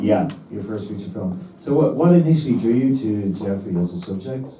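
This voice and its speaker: This man has a Dublin accent and a fairly low pitch, speaking at a fairly quick pace in a somewhat breathy voice. His intonation is lively, and his loudness swings widely. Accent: Dublin, Irish. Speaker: interviewer, Q&A moderator.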